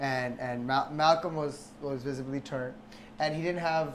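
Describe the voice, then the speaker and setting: Audible room echo around a man's American accent, delivered at a middling tempo. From Bergen County, New Jersey. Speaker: home cook. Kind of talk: casual chat; cooking tutorial. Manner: animated.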